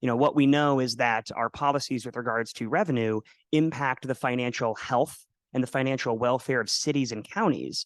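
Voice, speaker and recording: Against a quiet background, a man talks at medium pitch. His pace is fairly quick, with ordinary pitch variation. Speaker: state senator, panel moderator. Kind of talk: panel discussion moderation. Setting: stage with audience. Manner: loud; fast.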